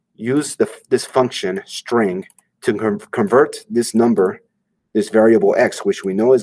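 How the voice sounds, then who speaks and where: A man with a medium pitch and very wide pitch swings is recorded dry and close with no echo, in a very clean recording with a silent background. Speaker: coding instructor. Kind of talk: tutorial. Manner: fast.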